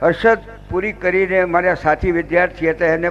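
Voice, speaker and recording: Music in the background plays under speech in a monotone, flat intonation. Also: man. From Gujarat, Limbdi (Jhalawad), born in Kutch. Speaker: politician, former student. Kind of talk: ceremonial speech.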